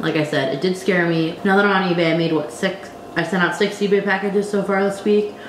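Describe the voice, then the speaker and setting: Over noticeable background noise and audible room echo, a woman speaks at a very fast pace with fairly even intonation. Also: medium pitch for a woman, very even loudness. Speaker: online reseller and YouTuber. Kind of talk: casual vlog tutorial.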